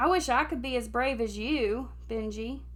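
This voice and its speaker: Over noticeable background noise, a woman performs a put-on character voice. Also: moderate pace. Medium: read story. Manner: lively, bouncy.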